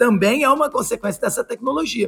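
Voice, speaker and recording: Noticeable background noise sits under a man talking at a fairly quick pace with very wide pitch swings. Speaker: podcast host. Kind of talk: casual chat.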